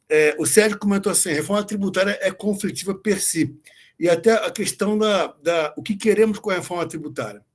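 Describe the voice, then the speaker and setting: His voice is high for a man, with ordinary pitch variation. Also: fairly quick pace. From Rio de Janeiro, Brazil. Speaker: tax auditor and legal scholar. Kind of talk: online lecture. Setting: video call.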